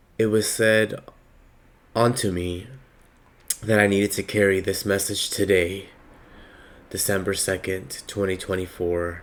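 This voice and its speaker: A man's fairly low-pitched voice, monotone and flat, at a fairly slow pace with long, frequent pauses. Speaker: spiritual reader. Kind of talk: spiritual message. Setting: at home.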